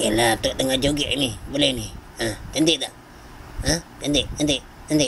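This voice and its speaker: Over clear background noise, a man at medium pitch does a cartoonish character voice with long, frequent pauses. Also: fairly even intonation. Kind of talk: comic overacting.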